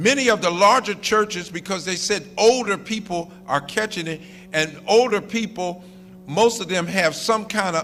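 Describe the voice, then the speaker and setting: In a very clean recording with a silent background, a man speaks in a raised, projected voice at a fairly slow pace. His tone is animated, bright and sharp, with ordinary pitch variation. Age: 60s. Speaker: minister. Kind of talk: sermon.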